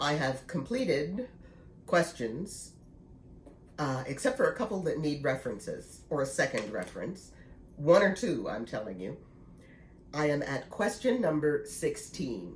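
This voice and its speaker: A woman speaks in a very deep, low voice with some breathiness, her pitch swinging very widely as she moves at a fairly slow pace with long, frequent pauses. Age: 60s. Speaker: knitting vlogger. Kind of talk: casual vlog talk. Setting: at home.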